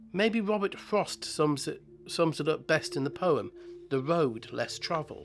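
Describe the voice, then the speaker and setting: Over music in the background, a man speaks at a fairly slow pace in a high pitch. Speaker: model-building channel host. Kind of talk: scripted narration. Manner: halting, with repeated words.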